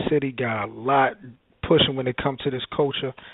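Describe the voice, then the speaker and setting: A man with a Baltimore accent talks at a very fast pace and medium pitch. His intonation is monotone and flat, with noticeable background noise behind him. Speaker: podcast host. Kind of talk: casual radio interview.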